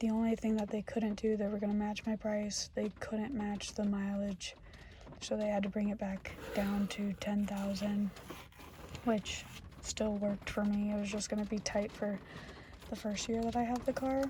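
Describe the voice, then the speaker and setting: Whispering and soft-spoken at a moderate pace, the voice holds a very even loudness amid noticeable background noise. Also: woman. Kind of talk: ASMR storytime in a car, casual talk to camera. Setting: inside a parked car with rain outside. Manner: soft-spoken, whispered.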